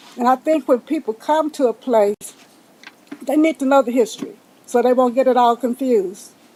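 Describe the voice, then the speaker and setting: Noticeable background noise sits behind a woman speaking at a high pitch with ordinary pitch variation. She keeps a moderate pace and very even loudness. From Texas, Pflugerville area. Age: 80s+. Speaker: public commenter at council meeting. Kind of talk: public comment. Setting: city council chamber.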